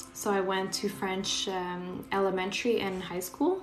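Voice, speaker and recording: A woman's medium-pitched voice in a Quebec accent, with audible room echo and noticeable background noise. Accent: Quebec Canadian English. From Quebec, Canada (Portuguese-speaking family). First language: Portuguese. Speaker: Reiki healer. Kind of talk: live stream chat during energy healing. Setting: live stream from home. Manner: casual. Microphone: laptop.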